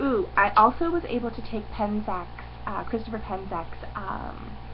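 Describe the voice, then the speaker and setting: Fairly slow speech with noticeable background noise and audible room echo. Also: woman. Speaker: pagan video blogger. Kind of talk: casual vlog. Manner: hesitant, many fillers.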